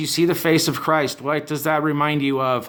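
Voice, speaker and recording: A fairly high-pitched man speaking at a moderate pace. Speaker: online commentary host. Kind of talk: rant monologue. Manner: loud; animated.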